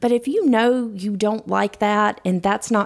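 A woman with an ordinary speaking voice, medium pitch, ordinary pitch variation and a moderate pace. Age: 40s. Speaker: podcast co-host. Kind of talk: casual chat. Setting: studio.

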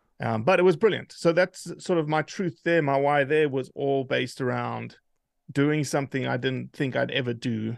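With a South African accent, a man talks at a moderate pace in a fairly high pitch with ordinary pitch variation. The sound is dry and close with no echo against a quiet background. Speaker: hunting advocate, organization leader. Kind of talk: casual interview conversation.

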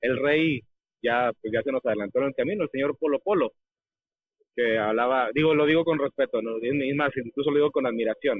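The sound is dry and close, with no echo. A man speaks fairly quickly at a medium pitch with ordinary pitch variation.

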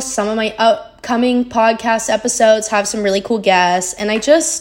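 A woman with an American accent, fairly high-pitched, amid noticeable background noise. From Arizona. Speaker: podcast host, college athlete. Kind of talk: casual monologue.

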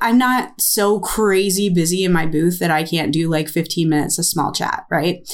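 A woman with an American accent and a medium pitch talks at a moderate pace with hardly any pauses over noticeable background noise. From United States. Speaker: ceramicist and podcast co-host. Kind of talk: casual chat.

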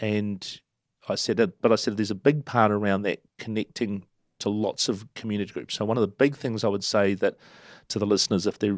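A man with a New Zealand accent talks at a moderate pace in a fairly low pitch, his intonation fairly even. The sound is dry and close with no echo, on a very clean recording with a silent background. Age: 50s. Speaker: council candidate and former chamber of commerce CEO. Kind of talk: casual interview.

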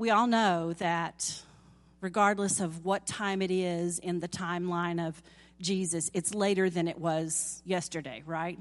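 A woman speaks in a Southern US accent at a very slow pace. The background is quiet. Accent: southern drawl. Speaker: lay preacher. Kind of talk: sermon. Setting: church.

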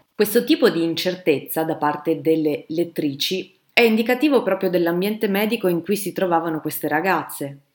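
With hardly any pauses, a woman in a plain, everyday voice speaks at a moderate pace, her fairly low pitch showing ordinary pitch variation. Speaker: historian. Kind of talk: scripted narration.

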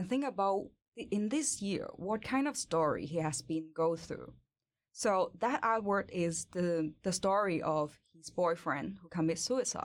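A woman with a Hong Kong accent speaks at a fairly slow pace, her intonation lively. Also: medium pitch for a woman. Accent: Hong Kong Cantonese-accented English. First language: Cantonese. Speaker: industrial designer and model. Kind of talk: casual interview. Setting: studio.

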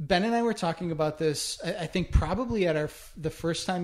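Speaking at a fairly quick pace with an Upper Midwest accent, a man with a high voice shows ordinary pitch variation. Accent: Upper Midwest American. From Minnesota (Winona). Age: 40s. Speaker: chef. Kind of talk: casual chat.

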